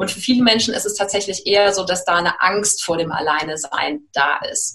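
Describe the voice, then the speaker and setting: A woman with a plain, everyday voice speaks at a moderate pace, her medium pitch showing ordinary pitch variation. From Germany, Cologne. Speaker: life coach. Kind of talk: interview.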